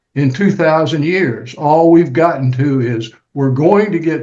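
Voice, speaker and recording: Somewhat breathy, a man speaks at a fairly slow pace in a fairly high pitch with ordinary pitch variation. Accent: American. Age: 80s+. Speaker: retired lawyer. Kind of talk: casual chat. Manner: halting.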